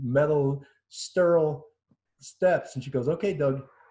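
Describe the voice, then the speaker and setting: A man's somewhat breathy voice, dark and mellow in tone, fairly high in pitch, with ordinary pitch variation. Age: 60s. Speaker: COVID-19 survivor. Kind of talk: interview testimony. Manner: halting.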